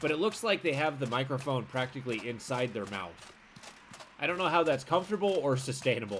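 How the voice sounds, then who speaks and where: Over noticeable background noise, a man with a medium pitch speaks at a fairly quick pace, his pitch swinging very widely. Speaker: game streamer. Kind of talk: gameplay commentary. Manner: shouting at times; casual, conversational.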